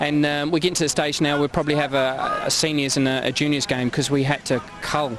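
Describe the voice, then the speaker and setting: Amid noticeable background noise, a man talks at a very fast pace with monotone, flat intonation. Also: fairly high pitch for a man. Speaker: insurance underwriter, event organiser. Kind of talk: on-location interview. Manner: halting, many repetitions and fillers.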